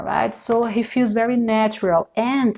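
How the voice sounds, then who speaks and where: A woman is speaking. She has a Brazilian accent. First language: Portuguese. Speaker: tarot reader. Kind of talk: tarot reading. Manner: halting, many fillers.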